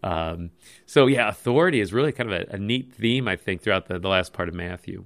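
A man with a plain, everyday voice speaks at a fairly low pitch and a fairly quick pace, his intonation lively. The recording is very clean, with a silent background. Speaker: pastor. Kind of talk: casual chat.

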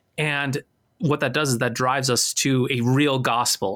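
A man talks in a plain, everyday voice at medium pitch and a fairly slow pace with fairly even intonation, recorded very cleanly against a silent background. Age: 40s. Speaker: pastor. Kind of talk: casual chat.

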